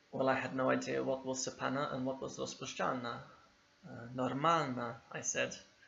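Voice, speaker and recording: Audible room echo hangs around this voice. A man is talking at a moderate pace. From England, East London. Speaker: English teacher. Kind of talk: video lesson.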